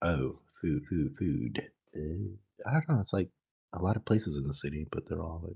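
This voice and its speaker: A man speaks with a very deep, low pitch, vocal fry and a dark, mellow tone. His intonation is lively. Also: moderate pace. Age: 30s. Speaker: podcast co-host. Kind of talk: casual chat.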